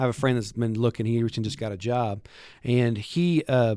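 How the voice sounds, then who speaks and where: A man with a West Texas accent at a medium pitch, fairly even in intonation, on a very clean recording with a silent background and a dry, close sound with no echo. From West Texas (Lubbock). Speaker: worship pastor. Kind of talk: casual chat.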